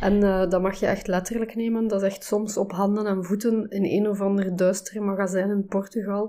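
A woman with a dark, mellow tone speaks at a fairly quick pace in a medium pitch with monotone, flat intonation. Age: 40s. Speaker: fashion label co-founder. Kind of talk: interview.

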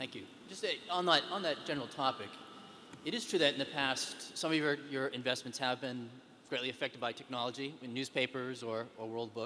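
Against noticeable background noise, a man talks fairly quickly with ordinary pitch variation. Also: medium pitch for a man. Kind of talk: Q&A questions.

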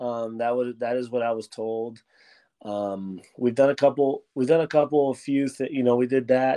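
This man has an American accent. The tone he uses is dark and mellow. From Miami, Florida. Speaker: high school girls basketball coach. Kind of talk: casual interview.

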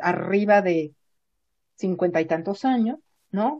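The voice is somewhat breathy, with very wide pitch swings. Delivery is very slow. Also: woman. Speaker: psychologist and university professor. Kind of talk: interview.

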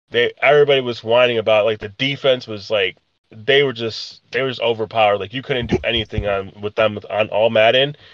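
Fairly quick and fairly even in intonation, a man talks at a medium pitch in a normal speaking voice. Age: 30s. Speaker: podcast co-host. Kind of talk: casual chat.

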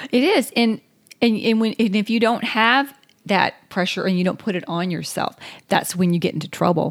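A woman with a Southern US accent talks at a medium pitch. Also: ordinary pitch variation, moderate pace. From US South. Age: 50s. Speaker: podcast co-host. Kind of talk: casual chat.

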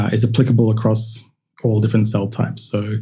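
A man with an Australian accent, medium pitch, a dark, mellow tone and a somewhat breathy quality, in audible room echo. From Central Queensland, Australia. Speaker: cultivated meat scientist. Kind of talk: interview.

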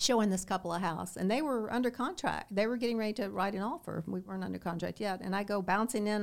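With a Kentucky accent, a woman talks at a fairly quick pace with ordinary pitch variation. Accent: US Southern (Kentucky). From Southern Kentucky. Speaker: real estate broker. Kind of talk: interview. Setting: studio.

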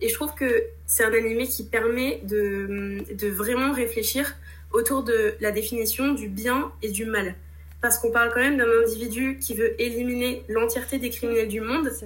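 A woman's fairly high voice with fairly even intonation, in audible room echo. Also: moderate pace. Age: 20s. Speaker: manga enthusiast, Instagram creator. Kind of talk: interview. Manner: hesitant, many fillers.

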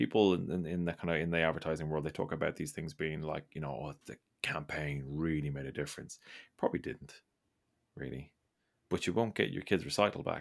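A man with an Irish accent, very deep and low in pitch with ordinary pitch variation, at a very fast pace in a very clean recording with a silent background. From Ireland. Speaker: podcast host. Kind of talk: casual chat.

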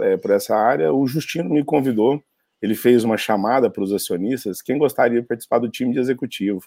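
A man with medium pitch and ordinary pitch variation talks in an ordinary speaking voice. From Brazil, Minas Gerais (Uberaba). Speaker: startup executive and investor. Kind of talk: casual interview.

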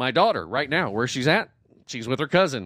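In an American accent, a man uses a normal speaking voice at a medium pitch and moderate pace. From US South, Southwest Georgia then North Carolina. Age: 40s. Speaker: podcast host. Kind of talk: casual chat.

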